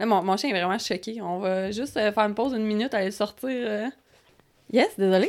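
The speaker talks at a fairly quick pace in a Quebec accent. Pitch varies in an ordinary way. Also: woman, fairly high pitch for a woman. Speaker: podcast co-host. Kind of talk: casual chat.

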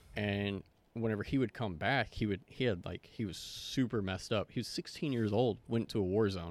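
Against a silent background in a very clean recording, a man with an ordinary speaking voice, fairly low pitch and ordinary pitch variation talks at a fairly quick pace. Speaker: veteran. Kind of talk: casual chat.

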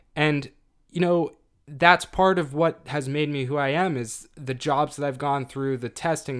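A man with an unremarkable speaking voice, fairly high in pitch, with fairly even intonation at a fairly slow pace, in a very clean recording with a silent background. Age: 20s. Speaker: podcast co-host, economics student. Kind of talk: casual chat.

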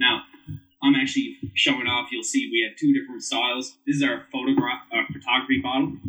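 A man with a Newfoundland accent at a fairly quick pace. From Newfoundland, Canada (St. John's). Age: 30s. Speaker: whiskey brand ambassador and bartender. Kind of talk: casual chat.

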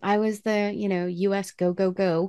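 Against a quiet background, a woman with a medium-pitched voice and a dark, mellow tone talks at a moderate pace with ordinary pitch variation. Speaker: podcast co-host. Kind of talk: casual chat. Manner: soothing, relaxed.

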